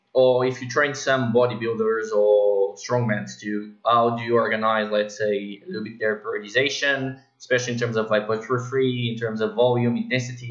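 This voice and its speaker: The speaker talks at a moderate pace in a Portuguese accent, with monotone, flat intonation. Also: man. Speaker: podcast host, fitness coach. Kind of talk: interview.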